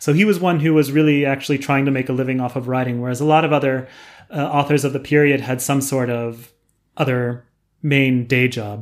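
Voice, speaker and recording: An unremarkable speaking voice from a man with an American accent, fairly high in pitch, moving at a fairly quick pace. His intonation stays fairly even, and the recording is very clean with a silent background. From US West Coast, San Diego, California. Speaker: professor. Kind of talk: interview.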